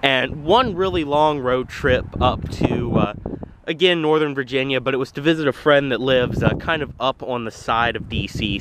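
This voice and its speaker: Moderate-paced speech from a man, dry with no echo, over noticeable background noise. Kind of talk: casual vlog chat. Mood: happy, enthusiastic. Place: street. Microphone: phone near.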